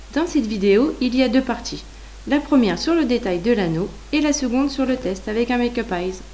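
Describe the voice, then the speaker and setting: Background noise is noticeable as a woman speaks. She talks fairly quickly, her voice high-pitched with lively intonation. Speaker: beauty youtuber. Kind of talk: makeup tutorial and product review. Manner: casual, chatty.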